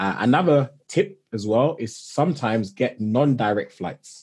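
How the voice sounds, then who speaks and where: A man with a London accent speaks with lively intonation over a quiet background. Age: 20s. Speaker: technology manager and travel influencer. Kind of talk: interview.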